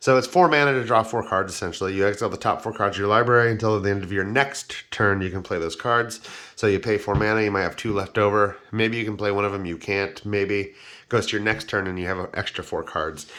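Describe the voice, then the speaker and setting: Against a quiet background, a man talks at a fairly quick pace with a fairly low pitch and ordinary pitch variation. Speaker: YouTuber reviewing Magic card game cards. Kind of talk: casual video tutorial. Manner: fast; casual, with fillers.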